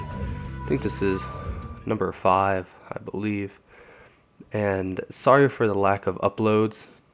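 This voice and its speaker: A man speaks at a very slow pace with lively intonation and long, frequent pauses. Music plays in the background. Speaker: gamer. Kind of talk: live gaming commentary. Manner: casual.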